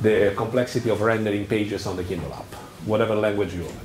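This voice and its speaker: Speaking at a very fast pace in an Italian accent, a man with a fairly low pitch is heard over noticeable background noise and audible room echo. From Italy. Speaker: software engineering lead, conference speaker. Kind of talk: tech talk. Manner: animated; halting.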